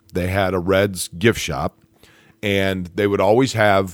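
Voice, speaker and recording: Recorded very cleanly against a silent background, a man speaks with a very deep, low pitch and vocal fry. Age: 40s. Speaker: sports broadcaster. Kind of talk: casual chat.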